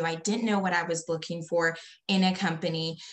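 A woman with an ordinary speaking voice talks fairly quickly at a fairly low pitch. Her intonation is fairly even, and the background is quiet. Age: 30s. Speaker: network marketer; guest. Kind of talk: testimony. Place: home room. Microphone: video call.

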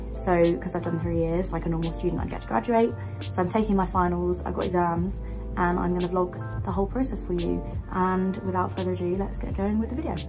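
The speech runs at a very fast pace while clear music plays in the background. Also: woman. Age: 20s. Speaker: medical student; university student vlogger. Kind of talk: casual talk to camera. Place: home room. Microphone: phone near.

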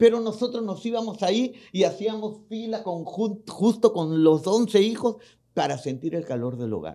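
With lively intonation, a man with a high voice speaks at a fairly slow pace in a dark, mellow tone. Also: quiet background. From Peru. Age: 60s. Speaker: pastor. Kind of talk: testimony. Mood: emotional personal testimony. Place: studio. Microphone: studio mic.

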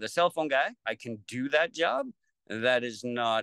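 A man with a Canadian accent talks at a moderate pace. The background is quiet and the sound is dry, with no echo. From Lethbridge, Alberta, Canada. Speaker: battery technician. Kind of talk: interview answer. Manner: casual, conversational. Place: home room. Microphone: video call.

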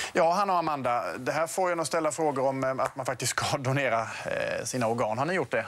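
This man has a fairly high pitch with ordinary pitch variation. He speaks at a fairly quick pace. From Sweden. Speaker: TV morning show host. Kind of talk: TV interview. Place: studio. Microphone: lapel.

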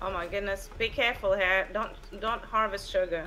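This woman has a medium pitch and a bright, sharp tone. She speaks at a moderate pace. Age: 70s. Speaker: fellow gamer. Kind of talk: casual gameplay chat.

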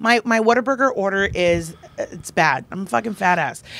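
A woman with an American accent speaks at a moderate pace and medium pitch, her intonation lively. The sound is dry, with no echo. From Texas, San Antonio; Texas. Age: 30s. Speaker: comedian and performer; comedian. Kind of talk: casual chat. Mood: relaxed, joking, lively. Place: studio. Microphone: handheld.

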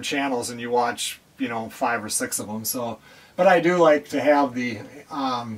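A man speaking at a moderate pace. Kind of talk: casual vlog chat. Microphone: camera far.

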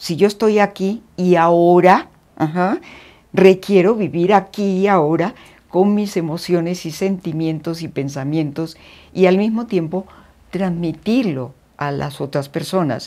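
A woman with a dark, mellow tone and fairly low pitch talks at a fairly slow pace with ordinary pitch variation. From Colombia, Cali. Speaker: folk dance teacher; interviewee, former teacher. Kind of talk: interview; interview answer. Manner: halting, with many fillers. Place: home room. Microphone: lapel.

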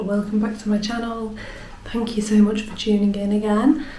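A woman talks over light background noise, her voice carrying audible room echo. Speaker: artist vlogger. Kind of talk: casual vlog chat. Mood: warm, cheerful. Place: home room. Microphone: phone near.

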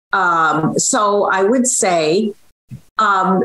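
A woman is speaking here. Her pitch swings very widely. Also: quiet background. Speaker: social media cooking creator. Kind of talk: interview answer. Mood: warm, encouraging. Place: home room. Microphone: video call.

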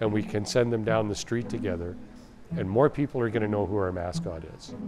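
A man speaks while music plays clearly in the background. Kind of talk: interview answer. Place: workshop.

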